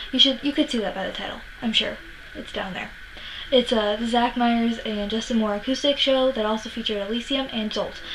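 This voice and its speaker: At a fairly quick pace, a woman talks in a fairly high pitch with fairly even intonation over noticeable background noise. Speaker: music vlogger. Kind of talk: casual vlog monologue. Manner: fast; hesitant, many fillers.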